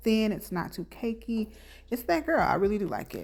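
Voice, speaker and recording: A woman is whispering at a fairly quick pace. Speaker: beauty vlogger. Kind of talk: tutorial voiceover. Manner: casual.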